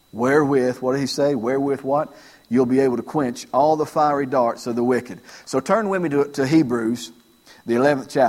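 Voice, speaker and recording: Moderately paced, this man has a normal speaking voice. The rise and fall of his pitch is typical. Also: medium pitch for a man. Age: 40s. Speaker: pastor. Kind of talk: sermon. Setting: church.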